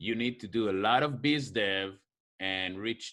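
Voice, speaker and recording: A man's medium-pitched voice, bright and sharp in tone, with lively intonation and a fairly slow pace. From Israel. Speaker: marketing consultant and show host. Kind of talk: casual chat over drinks.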